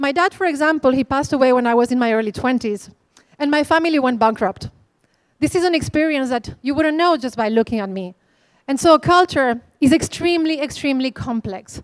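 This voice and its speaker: A woman with a Spanish accent, high-pitched and fairly quick, in a dry, close sound with no echo. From Spain. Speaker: conference speaker. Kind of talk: keynote talk. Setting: stage with audience.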